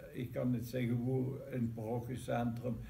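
A man in a Limburg accent at a moderate pace. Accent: Maaseik Limburgish dialect. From Maaseik, Belgian Limburg. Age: 80s+. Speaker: local band member telling its history. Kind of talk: interview answer, reminiscing. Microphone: camera far.

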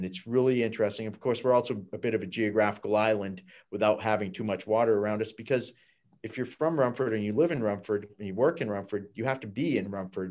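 The speech moves at a very fast pace. Behind it, the background is quiet. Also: man, fairly low pitch for a man, ordinary pitch variation. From US Northeast. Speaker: high school principal. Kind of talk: audience comment. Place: home room. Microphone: video call.

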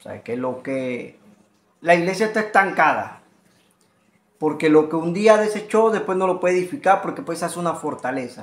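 The speaker is a man with a fairly high pitch. He moves at a moderate pace with lively intonation.

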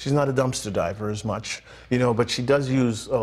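A plain, everyday voice with an American accent moves at a fairly quick pace with fairly even intonation. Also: man. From Boston. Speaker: TV arts show host. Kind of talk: live TV talk show. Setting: TV studio. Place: studio. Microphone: lapel.

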